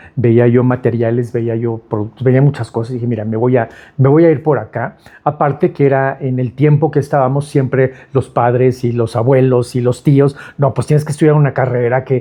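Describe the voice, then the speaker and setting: With a Mexico City accent, a man speaks at a moderate pace in a medium pitch, his voice somewhat breathy and his intonation fairly even. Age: 60s. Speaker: architect. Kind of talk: interview. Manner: halting, many fillers and repetitions.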